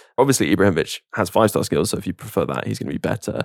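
A man with a British accent talks in a fairly low pitch, with vocal fry and lively intonation. The sound is dry and close, with no echo. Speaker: podcast host. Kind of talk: casual chat.

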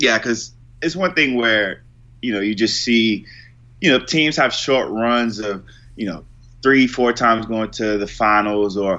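A man talks at a fairly slow pace in an ordinary speaking voice with ordinary pitch variation. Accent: American. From Virginia, US. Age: 20s. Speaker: sports video producer. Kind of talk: casual chat.

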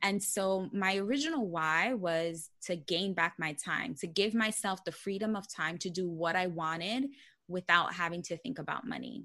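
Against a quiet background, a woman speaks in a New York accent at medium pitch. Her tone is bright and sharp, with ordinary pitch variation and a moderate pace. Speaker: personal finance blogger. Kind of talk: podcast interview.

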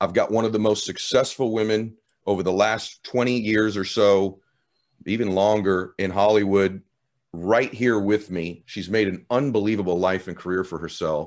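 A man speaks at a moderate pace with fairly low pitch and an energetic tone. The background is quiet. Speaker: podcast host. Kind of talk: interview. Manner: clearly articulated.

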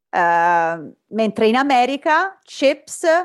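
A woman's fairly high voice with an Italian accent and very wide pitch swings, against a quiet background. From Italy, Rome. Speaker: surgeon. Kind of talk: interview.

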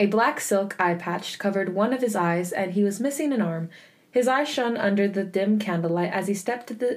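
The delivery is an unforced reading voice. Its pitch varies in an ordinary way.

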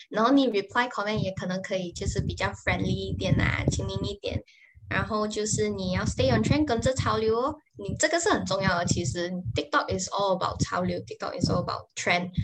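The clip has clear background noise throughout. Over it, a woman speaks fairly briskly. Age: 20s. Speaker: social media manager. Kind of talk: interview. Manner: halting.

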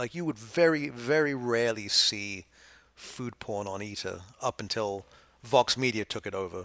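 A man uses an ordinary speaking voice at a medium pitch with ordinary pitch variation and a moderate pace. The recording is very clean, with a silent background. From London, England, then New York from 15. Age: 50s. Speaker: food writer. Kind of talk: casual chat. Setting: studio.

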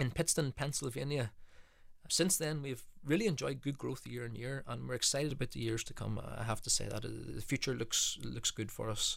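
Speaking at a fairly quick pace, a man uses a medium pitch with ordinary variation. Vocal fry runs through his voice. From United Kingdom. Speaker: business executive. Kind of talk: interview.

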